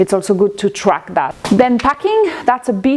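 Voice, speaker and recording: A woman's fairly slow speech in a French accent. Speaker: ceramic artist. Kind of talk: casual tutorial vlog. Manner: halting.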